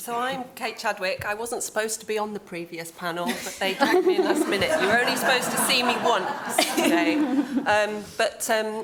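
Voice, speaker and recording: Speaking at a moderate pace with an East Midlands accent, the voice makes very wide pitch swings and big swings in loudness with hardly any pauses, over noticeable background noise and audible room echo. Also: woman, fairly high pitch for a woman. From Northamptonshire, England (Oundle). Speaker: country park director. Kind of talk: conference panel introduction.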